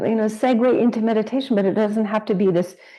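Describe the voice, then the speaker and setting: Dark, mellow tone against a quiet background. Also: woman. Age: 60s. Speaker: podcast host and yoga teacher. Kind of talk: interview conversation. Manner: halting.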